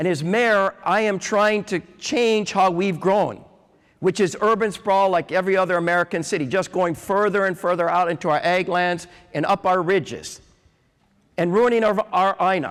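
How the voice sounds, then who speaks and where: A man with an animated tone and a high pitch, at a moderate pace. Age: 60s. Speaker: city mayor. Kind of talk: conference talk. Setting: stage with audience.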